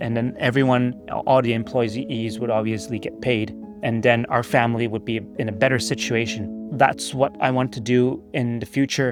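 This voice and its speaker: A man's medium-pitched voice at a moderate pace, with fairly even intonation and music behind it. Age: 40s. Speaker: real estate investor. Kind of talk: casual talk to camera. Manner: halting, some stuttering.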